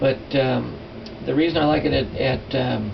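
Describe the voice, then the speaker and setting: A man talks in a space with audible room echo while noticeable background noise carries on. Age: 60s. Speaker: silversmithing teacher. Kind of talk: tutorial. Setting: workshop. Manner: casual, halting with fillers.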